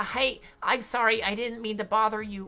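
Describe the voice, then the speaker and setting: A female-sounding put-on character voice comes out nasal and fairly high in pitch. It moves at a moderate pace with monotone, flat intonation. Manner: apologetic.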